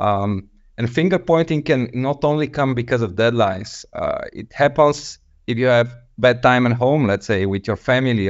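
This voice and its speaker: Here a man speaks with a Bulgarian accent at a medium pitch. He keeps a moderate pace with ordinary pitch variation. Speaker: software developer. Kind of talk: panel discussion. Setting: video call.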